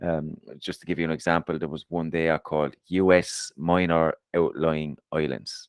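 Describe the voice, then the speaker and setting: A man with an Irish accent, a very deep, low pitch and monotone, flat intonation, in a dry, close sound with no echo. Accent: Irish, harsh. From Ireland, Waterford. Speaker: podcast co-host. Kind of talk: casual chat.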